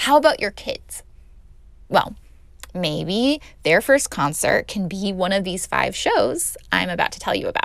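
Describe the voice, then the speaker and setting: At a fairly slow pace, a woman talks with a Californian accent. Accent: Californian American English. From Los Angeles. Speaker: podcast host. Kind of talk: casual podcast monologue.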